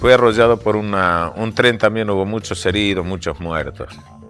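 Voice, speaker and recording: Fairly even intonation from a man, with music in the background. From Argentina, Tucumán. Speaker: radio announcer. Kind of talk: storytelling. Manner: conversational.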